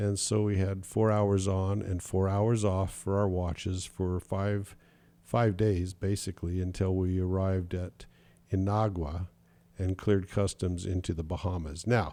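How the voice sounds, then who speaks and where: A man's very deep, low, dark, mellow voice, relaxed in tone, monotone and flat at a fairly slow pace, in a very clean recording with a silent background. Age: 70s. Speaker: sailing podcast host. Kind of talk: casual podcast monologue. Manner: relaxed, conversational with fillers.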